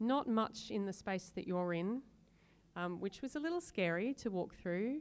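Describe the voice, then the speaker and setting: Here is a woman with an Australian accent. Her pitch varies in an ordinary way. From Tasmania, Australia. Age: 40s. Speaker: harpist. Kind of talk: casual chat. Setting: museum gallery with visitors.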